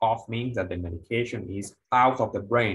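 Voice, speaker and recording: The voice belongs to a man. Its pitch shifts in an ordinary way. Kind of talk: lecture. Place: studio.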